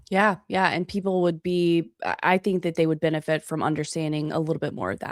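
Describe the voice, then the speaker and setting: In a very clean recording with a silent background and dry, close sound with no echo, a woman with an American accent uses a normal speaking voice at fairly low pitch and fairly even intonation. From US South. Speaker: podcast host. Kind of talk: casual chat.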